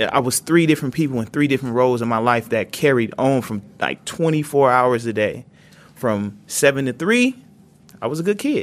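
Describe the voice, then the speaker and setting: A man speaks in an ordinary speaking voice at a medium pitch and a moderate pace, with ordinary pitch variation. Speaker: podcast sound designer and inmate. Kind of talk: panel discussion. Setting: prison.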